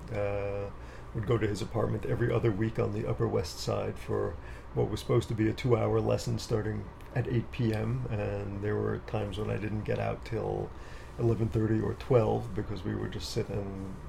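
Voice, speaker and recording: The speaker is a man with an American accent, talking at a moderate pace. Noticeable background noise runs underneath. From New York City, Queens. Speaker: composer. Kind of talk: casual interview. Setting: home studio.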